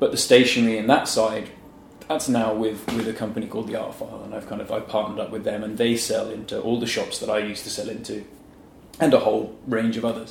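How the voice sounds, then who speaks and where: Very fast speech from a man, with noticeable background noise and audible room echo. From England, Norfolk. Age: 30s. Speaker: illustrator. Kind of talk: casual interview.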